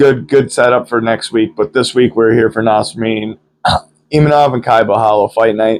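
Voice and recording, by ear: The voice sounds nasal. Its pitch varies in an ordinary way. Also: man.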